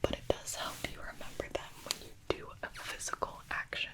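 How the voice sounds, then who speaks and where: A woman's whisper at a fairly slow pace over noticeable background noise. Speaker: ASMR creator. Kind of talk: ASMR advice talk. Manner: soft, relaxing.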